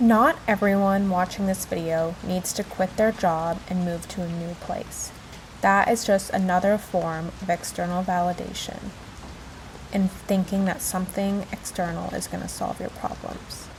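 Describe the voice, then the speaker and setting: Amid noticeable background noise, a woman speaks at a moderate pace and a medium pitch with monotone, flat intonation. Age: 20s. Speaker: former army nurse. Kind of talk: reflective voiceover.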